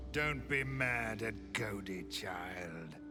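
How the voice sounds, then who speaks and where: A man does a cartoonish character voice with very deep, low pitch. Loud music plays in the background. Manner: gloating, speaks of himself in third person.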